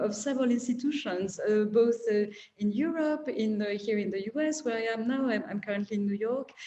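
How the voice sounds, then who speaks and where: With a high voice, a woman talks at a moderate pace. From France. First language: French. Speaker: art collector. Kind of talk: panel discussion.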